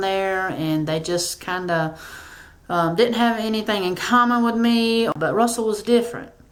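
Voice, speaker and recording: A woman with a Southern US accent speaks at medium pitch, with audible room echo. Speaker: YouTuber. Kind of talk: casual Q&A vlog. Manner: hesitant, many fillers.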